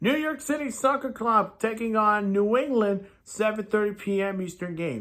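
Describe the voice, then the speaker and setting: A man's high, raised, projected voice, bright and sharp in tone, at a moderate pace with ordinary pitch variation, in a very clean recording with a silent background. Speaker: sports YouTuber making football predictions. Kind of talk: solo prediction commentary.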